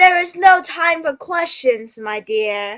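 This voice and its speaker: A woman puts on a character voice at an extremely high pitch. She speaks at a fairly slow pace with very wide pitch swings. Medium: read story. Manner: warm, motherly.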